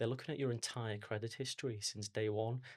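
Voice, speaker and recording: A man of medium pitch talks at a fairly quick pace on a very clean recording with a silent background. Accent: Liverpool. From Liverpool, England. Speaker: mortgage advisor. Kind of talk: podcast interview.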